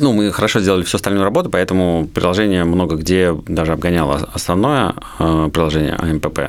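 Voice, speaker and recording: A man speaks fairly quickly in a very deep, low voice with ordinary pitch variation. His loudness stays very even. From Moscow region, Russia. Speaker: IT entrepreneur. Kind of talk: interview.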